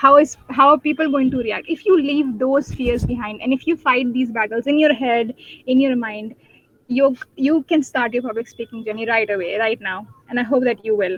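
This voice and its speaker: A woman in a Pakistani accent, high-pitched with ordinary pitch variation, at a moderate pace. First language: Urdu. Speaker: debater and guest speaker. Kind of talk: webinar talk. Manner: halting, many fillers.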